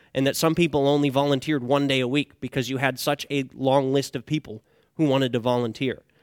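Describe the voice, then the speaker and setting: This man has a plain, everyday voice with a fairly high pitch and an American accent, talking at a fairly quick pace. The recording is very clean, with a silent background. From Northeast Pennsylvania. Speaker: pastoral candidate. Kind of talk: sermon. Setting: church.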